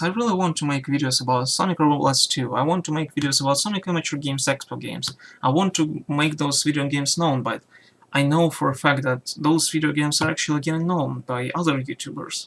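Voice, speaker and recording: A man talks quietly at a very fast pace. His fairly high voice keeps a fairly even intonation. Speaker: YouTuber. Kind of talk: personal vlog rant. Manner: halting.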